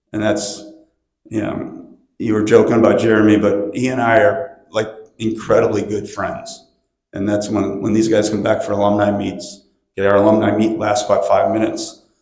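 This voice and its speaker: Moderate pace and fairly even intonation, with audible room echo. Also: man, fairly low pitch for a man. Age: 60s. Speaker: swim and football coach. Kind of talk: panel discussion. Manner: casual.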